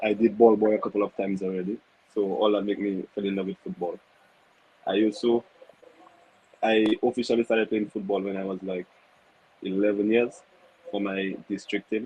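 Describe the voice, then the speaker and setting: A speaker talks at a fairly quick pace with long, frequent pauses and a monotone, flat intonation. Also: man, fairly low pitch for a man. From Saint Lucia. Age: 20s. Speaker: professional footballer, goalkeeper. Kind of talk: interview. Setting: studio.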